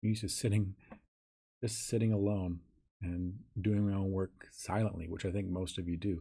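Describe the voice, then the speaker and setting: A man with a fairly low, dark, mellow, somewhat breathy voice talks at a moderate pace with fairly even intonation and long, frequent pauses. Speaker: software tutorial instructor. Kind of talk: tutorial. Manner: casual, conversational.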